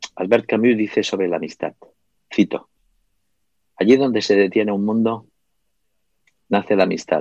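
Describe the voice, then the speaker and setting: A man with a fairly low pitch speaks at a moderate pace with fairly even intonation and long, frequent pauses, the sound dry and close with no echo. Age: 50s. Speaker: book publisher and writer. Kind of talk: interview. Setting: small delicatessen shop.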